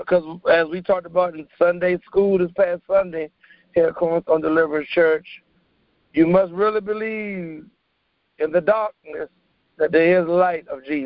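This man has a high pitch and speaks at a moderate pace with fairly even intonation. He leaves long, frequent pauses. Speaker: prayer participant. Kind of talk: fervent prayer.

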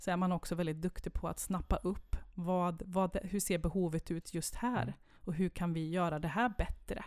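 Using a normal speaking voice, a woman keeps a moderate pace, her pitch medium and its variation ordinary. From Sweden, Värmland (Kil). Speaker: municipal head of culture. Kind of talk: interview.

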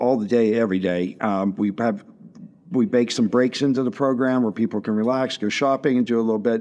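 A man with an American accent uses an ordinary speaking voice at a medium pitch with ordinary pitch variation. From western Pennsylvania (Washington, PA). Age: 50s. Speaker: chef and restaurant owner. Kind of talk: casual interview.

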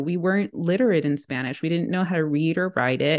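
A woman with an American accent speaks in an ordinary speaking voice at a fairly low pitch, with ordinary pitch variation and a moderate pace over a quiet background. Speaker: researcher and educator. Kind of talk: casual interview.

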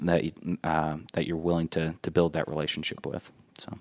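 Recorded very cleanly with a silent background and a dry, close sound with no echo, a man with a Midwestern American accent speaks at a very deep, low pitch. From Indiana, Indianapolis (Beech Grove). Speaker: corporate employee and local resident. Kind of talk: casual interview. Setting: studio. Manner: hesitant, many fillers.

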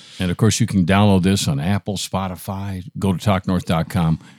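In an American accent, a man talks at a fairly quick pace with a very deep, low pitch and fairly even intonation, the sound dry and close with no echo on a very clean recording with a silent background. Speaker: podcast host. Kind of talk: casual interview and ad reads. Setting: studio.

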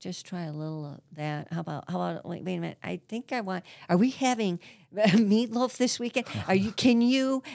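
A woman with a normal speaking voice talks fairly quickly at a medium pitch, her intonation lively. Her loudness swings widely on a very clean recording with a silent background. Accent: American. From Grosse Pointe, Detroit area, Michigan. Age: 60s. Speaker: therapist. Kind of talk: casual chat.

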